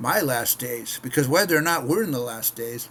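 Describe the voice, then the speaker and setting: A man speaks with an American accent in a plain, everyday voice. His pitch is medium and his pace fairly quick. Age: 60s. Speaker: missionary preacher. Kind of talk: casual devotional talk to camera. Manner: conversational with frequent repetitions.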